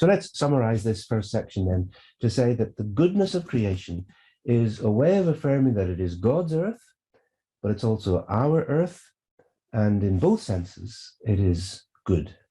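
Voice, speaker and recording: Recorded very cleanly against a silent background, a man with a Northern Irish accent speaks at a moderate pace in a medium pitch, his dark, mellow tone somewhat breathy and his pitch swinging very widely. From Northern Ireland, Belfast. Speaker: theologian. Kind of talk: lecture.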